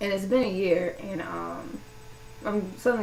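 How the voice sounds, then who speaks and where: A woman speaks fairly slowly in an American accent. There is audible room echo and noticeable background noise. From US South, Louisiana. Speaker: vlogger. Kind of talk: personal vlog monologue. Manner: casual, hesitant with many fillers.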